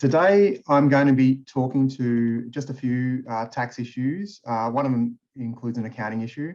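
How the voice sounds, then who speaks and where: This speaker has an Australian accent, ordinary pitch variation, a moderate pace and hardly any pauses. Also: man, medium pitch for a man. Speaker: tax partner. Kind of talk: webinar presentation.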